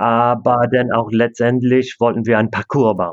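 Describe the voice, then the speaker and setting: The speaker is a man with an English accent. He talks at a fairly slow pace. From Canada. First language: English (speaking German). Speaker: disc golf club president and player. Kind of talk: interview. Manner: halting, many fillers.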